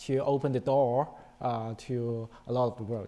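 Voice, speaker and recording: In a Chinese accent, a man talks fairly slowly with a dark, mellow tone. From China. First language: Chinese (Mandarin, Cantonese). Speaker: panelist, insurance professional. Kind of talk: panel discussion.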